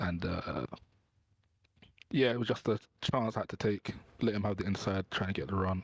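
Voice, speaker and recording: On a very clean recording with a silent background and a dry, close sound with no echo, a soft-spoken man talks at a moderate pace and a fairly low pitch. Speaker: sim racing driver. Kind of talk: post-race interview.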